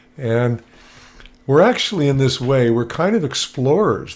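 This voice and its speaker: A man at a moderate pace. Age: 60s. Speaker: motivational speaker. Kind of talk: presentation on video call. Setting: video call with screen share. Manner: casual, animated.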